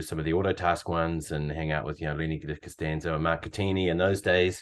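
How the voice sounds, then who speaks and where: A man speaks with a New Zealand accent at a very deep, low pitch and ordinary pitch variation. The background is quiet. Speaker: company founder and CEO. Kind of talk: podcast interview.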